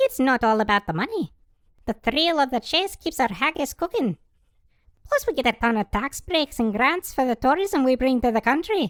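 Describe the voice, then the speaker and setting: In a very clean recording with a silent background, a female-sounding put-on character voice speaks at a high pitch and a moderate pace. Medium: audio drama. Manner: defensive, prickly.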